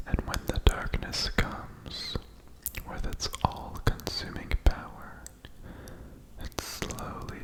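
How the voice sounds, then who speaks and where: Whispered at a very slow pace, the soothing voice comes over noticeable background noise. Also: man. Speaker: ASMR creator. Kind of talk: poetry reading. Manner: whispered, soothing.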